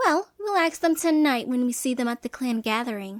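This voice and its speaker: In a put-on character voice that sounds female, the speaker uses a high pitch at a moderate pace. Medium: audio drama. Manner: sneering, mocking.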